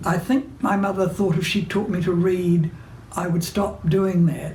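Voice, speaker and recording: A woman in a New Zealand accent, medium in pitch, at a moderate pace with audible room echo. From New Zealand, Hawke's Bay. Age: 90s. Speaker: playwright and novelist. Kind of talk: recorded interview monologue. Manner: hesitant with fillers.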